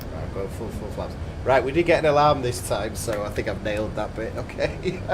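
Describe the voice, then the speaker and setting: Speaking at a fairly quick pace with lively intonation, a man is heard through audible room echo and noticeable background noise. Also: medium pitch for a man. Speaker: flight sim streamer. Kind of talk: casual chat. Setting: live stream. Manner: whispering.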